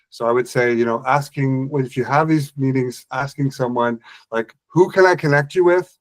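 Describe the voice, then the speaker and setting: Fairly high in pitch, a man speaks with an Ottawa Valley accent. His pace is moderate and his pitch varies in an ordinary way. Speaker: business owner, HubSpot solutions provider. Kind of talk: casual group discussion. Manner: hesitant, many fillers.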